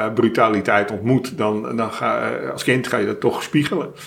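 Speech at a fairly slow tempo, noticeable noise in the background. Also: man. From Netherlands, Amersfoort and Almelo. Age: 60s. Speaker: organisational consultant, author with incurable cancer. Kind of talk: personal interview. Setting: therapist's practice.

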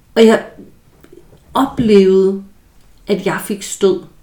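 A woman talks at a medium pitch. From rural Denmark. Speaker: psychologist podcast host. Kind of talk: solo educational talk. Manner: halting with repetitions.

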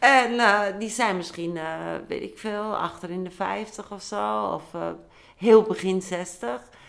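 A woman talks very slowly at a medium pitch. Her loudness swings widely. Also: ordinary pitch variation. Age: 60s. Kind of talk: casual chat.

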